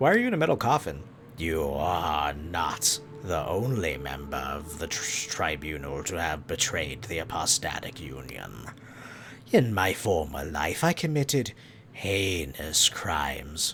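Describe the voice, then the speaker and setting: Putting on a character voice, a man speaks very deep and low at a fairly slow pace with lively intonation over clear background noise. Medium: game stream. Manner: formal, grave.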